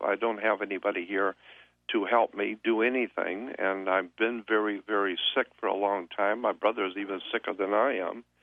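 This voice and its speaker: Monotone, flat delivery from a man at fairly low pitch and moderate pace. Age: 60s. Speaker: guest speaker on conspiracy topics. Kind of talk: radio interview. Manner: halting.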